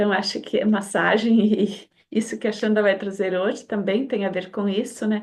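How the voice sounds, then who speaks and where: The speaker keeps a moderate pace. Delivery stays monotone, with flat intonation. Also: woman, medium pitch for a woman. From Brazil. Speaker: community host. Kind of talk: online community talk introduction.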